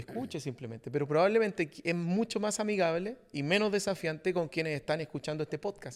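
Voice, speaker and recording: Lively intonation marks this voice in a Chilean accent, captured in a very clean recording with a silent background. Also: man. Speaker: podcast host, leadership coach. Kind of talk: casual podcast conversation.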